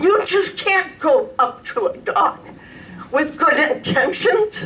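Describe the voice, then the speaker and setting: Over noticeable background noise, a woman speaks at a very slow pace in an extremely high pitch, her pitch swinging very widely while her loudness stays very even. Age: 70s. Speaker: resident speaking at public comment. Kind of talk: public comment at county commissioners meeting.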